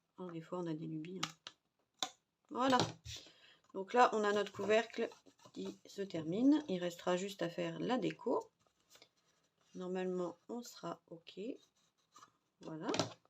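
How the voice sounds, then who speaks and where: A soft-spoken woman with a medium pitch talks at a very slow pace, her lively intonation broken by long, frequent pauses. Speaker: crafting youtuber. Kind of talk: tutorial. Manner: casual.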